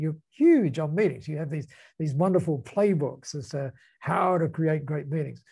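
A man with an Australian accent talks at a moderate pace in a fairly high pitch, his voice somewhat breathy with a dark, mellow tone. His pitch variation is ordinary, and the background is quiet. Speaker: business founder and speaker. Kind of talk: casual chat. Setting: video call.

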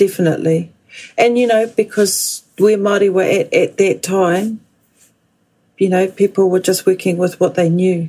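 A woman with a New Zealand accent talks at a moderate pace in a dark, mellow tone. Her intonation is fairly even and her loudness very even. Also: medium pitch for a woman. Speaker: guest, daughter of language activists. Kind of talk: interview.

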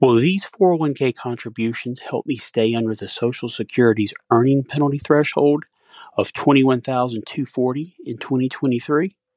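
In a dry, close sound with no echo, a man speaks at medium pitch and a moderate pace in an unremarkable speaking voice with ordinary pitch variation. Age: 60s. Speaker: listener with a recorded question. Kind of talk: recorded voicemail question.

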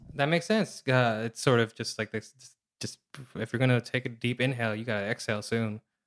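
A man talks at a fairly quick pace in an ordinary speaking voice at medium pitch. His intonation is fairly even, while his loudness swings a lot. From Seattle, Pacific Northwest US. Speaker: comedian and writer. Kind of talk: casual chat.

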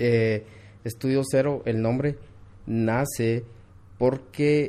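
With fairly even intonation, the speech carries a dark, mellow tone. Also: man. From Guatemala, Quetzaltenango (Xela). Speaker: architectural visualization studio CEO. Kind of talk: interview.

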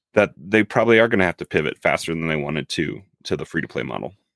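A man speaks at a very deep, low pitch. The recording is very clean, with a silent background. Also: dry, close sound with no echo. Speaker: gaming podcast co-host. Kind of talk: casual chat.

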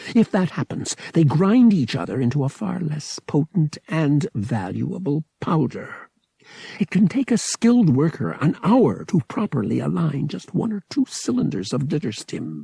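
In a put-on character voice, a man speaks at a fairly high pitch with a dark, mellow tone, a husky, rough edge, vocal fry and big pitch swings, in a dry, close sound with no echo. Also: moderate pace.

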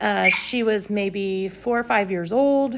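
A woman speaks with lively intonation. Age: 40s. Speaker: podcast host, abuse survivor. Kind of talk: personal monologue podcast. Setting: at home at a table. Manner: casual, conversational with filler words.

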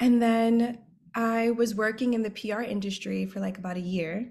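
A somewhat breathy woman with an American accent and fairly even intonation. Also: very clean recording, silent background. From New York City, the Bronx. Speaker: fashion model. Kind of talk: casual interview chat.

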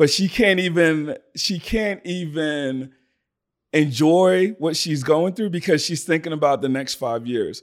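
An ordinary speaking voice from a man with fairly high pitch. He talks at a fairly slow pace with ordinary pitch variation. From Sierra Leone, then raised in Philadelphia. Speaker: digital marketing strategist and entrepreneur. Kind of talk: casual interview conversation.

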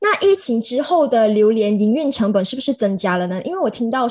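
This speaker is a woman. She talks at a fairly quick clip. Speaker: podcast host. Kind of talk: casual interview. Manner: animated.

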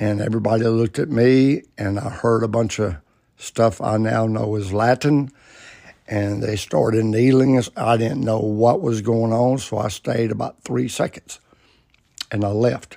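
A man with an Alabama accent speaks at a fairly slow pace in a dark, mellow tone with a medium pitch. His intonation is fairly even, and the recording is very clean with a silent background. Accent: Southern US (Alabama). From US South, Alabama (Birmingham area). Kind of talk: personal storytelling monologue. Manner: casual, folksy.

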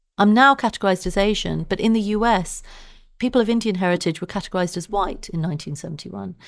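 The speech is delivered at a very fast pace. It comes in a southern English accent. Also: woman, medium pitch for a woman, ordinary pitch variation, very clean recording, silent background. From Southeast London. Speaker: science journalist and author. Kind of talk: interview.

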